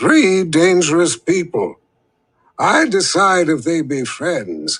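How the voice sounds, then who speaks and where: A man puts on a high-pitched character voice. He speaks very slowly. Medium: read story. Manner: terse, clipped, odd grammar.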